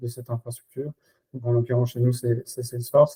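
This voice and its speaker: Man at a medium pitch, dark, mellow tone and somewhat breathy, dry and close with no echo. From Belgium. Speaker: RevOps and Salesforce expert. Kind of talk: podcast interview. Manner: hesitant, many fillers.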